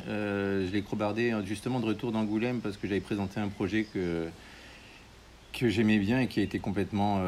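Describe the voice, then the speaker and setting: Talking at a fairly quick pace broken by long, frequent pauses, a man with a fairly low voice keeps his intonation fairly even. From France, Haute-Marne. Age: 50s. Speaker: comic book artist and painter. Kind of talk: casual interview. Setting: at his home, with birds.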